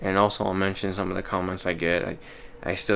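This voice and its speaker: Through noticeable background noise, a man with an American accent speaks at a moderate pace in a very deep, low monotone with flat intonation. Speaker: vlogger. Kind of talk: casual monologue vlog. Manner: monotone, little inflection; hesitant, many fillers.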